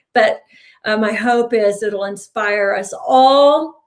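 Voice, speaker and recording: With ordinary pitch variation and a fairly high pitch, the woman has an unremarkable speaking voice. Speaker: mental health speaker. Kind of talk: conference talk.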